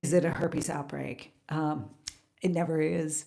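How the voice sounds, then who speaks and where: Pacing sits at a moderate rate. Intonation holds fairly even throughout. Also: woman. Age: 60s. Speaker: carnivore diet coach and vlogger. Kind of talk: casual chat. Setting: live stream. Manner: halting.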